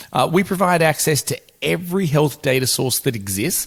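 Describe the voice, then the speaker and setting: Talking at a moderate pace, a man with a fairly high pitch speaks in an Australian accent. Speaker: podcast host and business executive. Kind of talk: podcast interview. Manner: hesitant with frequent fillers.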